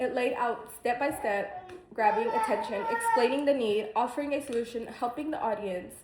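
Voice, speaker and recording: Noticeable background noise sits behind a woman speaking. She has a high pitch with ordinary pitch variation. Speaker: student. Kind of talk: class speech. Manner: fast; halting.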